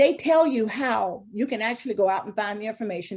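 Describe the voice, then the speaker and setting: Here is a woman with a normal speaking voice at medium pitch. Her pitch variation is ordinary, and the background is quiet. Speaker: HR consultant presenter. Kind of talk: webinar presentation.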